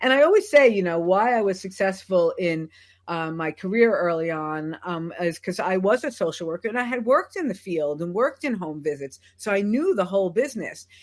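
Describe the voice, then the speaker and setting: A woman talks with hardly any pauses. Her medium-pitched voice has lively intonation. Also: quiet background. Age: 60s. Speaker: business consultant and trainer. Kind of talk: interview. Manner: halting, many fillers.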